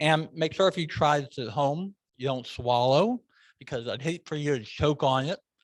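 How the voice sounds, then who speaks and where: A man with an American accent and a fairly high pitch. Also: dry, close sound with no echo. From US Midwest, Des Moines, Iowa. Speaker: meeting host at a speaking club. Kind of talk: club meeting talk with speaking tips. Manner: fast.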